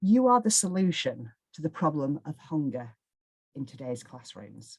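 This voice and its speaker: Speaking with a northwest English accent, a woman has a very deep, low pitch, very wide pitch swings, a somewhat breathy quality and a fairly slow pace. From northwest England. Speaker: charity fundraising trainer. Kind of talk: webinar presentation. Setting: online webinar.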